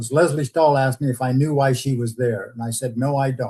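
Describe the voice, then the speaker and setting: A man's somewhat breathy voice at a medium pitch, fairly even in intonation, at a fairly quick pace. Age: 80s+. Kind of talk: interview.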